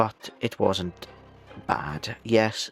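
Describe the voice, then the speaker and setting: A man speaks quietly with ordinary pitch variation. Music plays in the background. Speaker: VTuber gamer. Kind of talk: casual game review monologue.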